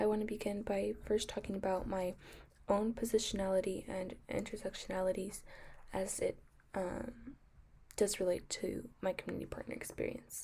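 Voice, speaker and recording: A woman speaks at a moderate pace in a medium-pitched, dark, mellow, somewhat breathy voice with flat, monotone intonation. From US, Mexican American family. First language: Spanish. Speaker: nursing student. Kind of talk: class presentation. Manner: hesitant, many fillers.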